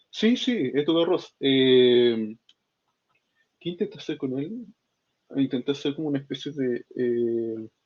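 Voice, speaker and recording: A man holds a medium pitch with ordinary pitch variation, talking fairly slowly. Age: 20s. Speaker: software developer and student. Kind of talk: casual interview. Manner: halting, many fillers.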